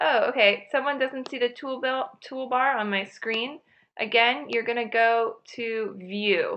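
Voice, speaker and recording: A woman speaks at a fairly slow pace with a fairly high pitch. It is a normal speaking voice with ordinary pitch variation. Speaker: online class instructor. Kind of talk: software tutorial for students. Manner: casual, many fillers.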